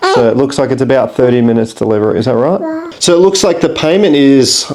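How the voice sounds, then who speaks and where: Noticeable background noise accompanies a man speaking with an Australian accent. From Australia, Brisbane. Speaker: expat vlogger. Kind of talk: tutorial.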